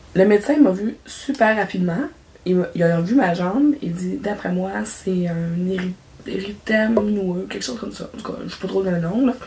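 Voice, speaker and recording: Amid noticeable background noise, a woman with a Quebec accent speaks at a moderate pace in a medium pitch, with ordinary pitch variation and big swings in loudness. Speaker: craft YouTuber. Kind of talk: casual vlog chat. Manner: halting.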